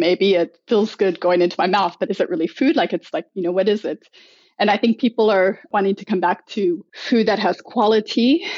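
A woman with an American accent speaks at a fairly quick pace in an unremarkable speaking voice. Her pitch is medium, with ordinary pitch variation. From United States. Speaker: food club organizer and writer. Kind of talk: casual interview.

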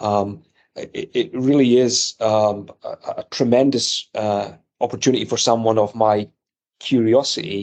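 With a slight Scottish accent, a man speaks at a medium pitch with fairly even intonation. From Edinburgh, Scotland. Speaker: electronics company executive. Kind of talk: interview.

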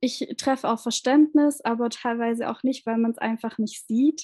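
Her pace is fairly slow, with a fairly high pitch and a dark, mellow tone. The woman's voice sounds dry and close, with no echo. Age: 20s. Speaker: social worker and endometriosis patient. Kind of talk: interview about her own illness. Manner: hesitant, many fillers.

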